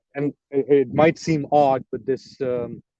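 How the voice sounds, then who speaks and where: The tone is dark and mellow, with an English accent. The sound is dry and close, with no echo. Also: man. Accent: English-sounding accent with Pakistani roots. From Pakistan, Karachi. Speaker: journalist and political commentator. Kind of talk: live stream Q&A. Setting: outdoors in a park, live stream. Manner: hesitant, many fillers.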